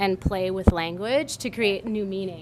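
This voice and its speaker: A woman at a moderate pace with an American accent amid noticeable background noise. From US Midwest, rural South Dakota. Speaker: activist. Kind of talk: interview. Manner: talkative, chatty.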